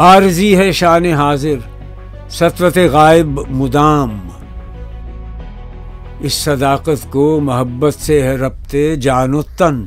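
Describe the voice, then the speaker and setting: Music plays in the background behind a man. His pitch is fairly high, with ordinary variation. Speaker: poetry reciter. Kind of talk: poetry reading.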